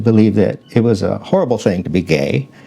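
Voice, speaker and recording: Amid noticeable background noise, a man speaks at a moderate pace and medium pitch with lively intonation. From Arizona. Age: 60s. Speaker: talk show host. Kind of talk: reading aloud. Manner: halting.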